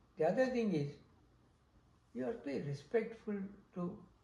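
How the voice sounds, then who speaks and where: A man talks with lively intonation. Audible room echo surrounds his voice. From India. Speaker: interviewee sharing life story. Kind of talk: oral history interview. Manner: halting.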